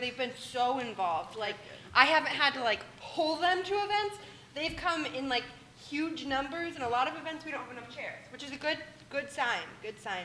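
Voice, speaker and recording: A woman's high, raised and projected voice carries an animated tone and lively intonation at a moderate pace. Noticeable background noise is present. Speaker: student government leader. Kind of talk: meeting report. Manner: loud.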